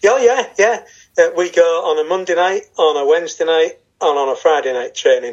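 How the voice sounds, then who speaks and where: Speaking at a moderate pace with a northern English accent, a man uses a high pitch and lively intonation. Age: 50s. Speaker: martial arts student. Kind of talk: casual chat.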